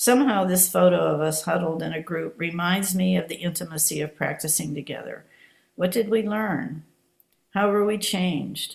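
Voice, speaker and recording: A woman speaks at a moderate pace in a fairly low voice, with vocal fry and ordinary pitch variation. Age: 70s. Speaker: Zen practitioner giving dharma talk. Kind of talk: dharma talk. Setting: online video meeting. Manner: halting.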